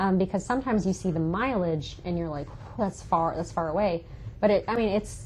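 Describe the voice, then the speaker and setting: Somewhat breathy, a woman of medium pitch with an American accent talks at a fairly quick pace with ordinary pitch variation. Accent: Southern, stronger in some places. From South Carolina Lowcountry, Bluffton. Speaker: magazine representative. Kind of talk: podcast interview. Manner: casual, many fillers.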